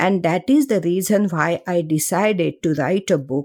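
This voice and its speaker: Fairly low pitch from a woman with a dark, mellow tone, dry, close sound with no echo, on a very clean recording with a silent background. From India, Mumbai. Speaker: cancer researcher and author. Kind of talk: interview.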